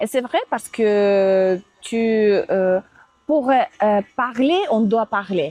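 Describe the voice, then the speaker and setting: A woman with a fairly high voice and a dark, mellow tone speaks at a very slow pace with lively intonation. The sound is dry and close with no echo, and the loudness stays very even. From Russia, Moscow. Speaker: Russian and French teacher, visa assistant. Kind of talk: interview. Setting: outdoors. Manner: halting, many hesitations.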